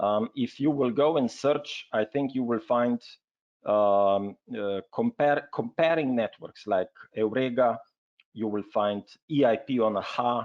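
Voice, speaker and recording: Here a man speaks in a Slovenian accent at a medium pitch. His pitch varies in an ordinary way. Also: fairly slow pace. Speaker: health network representative. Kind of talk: webinar presentation. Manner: hesitant, many fillers.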